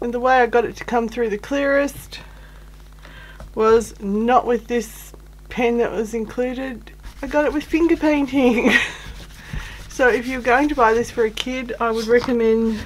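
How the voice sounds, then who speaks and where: At a fairly slow pace, a woman talks in a high pitch with fairly even intonation and long, frequent pauses, over noticeable background noise. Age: middle-aged. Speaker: crafter, YouTuber. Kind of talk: casual talk to camera.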